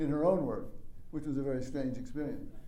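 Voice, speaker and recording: This man's voice sits fairly high for a man, with a dark, mellow tone and lively intonation, and the room echo is audible. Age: 70s. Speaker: lecturer. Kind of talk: lecture.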